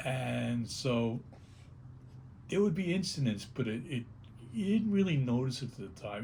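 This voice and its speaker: Amid audible room echo, a man with a New York accent talks in a medium pitch, somewhat breathy and with lively intonation. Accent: New York (Bronx). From New York City, the Bronx. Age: 70s. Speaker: punk rock singer. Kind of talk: oral history interview. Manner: halting, repeats words.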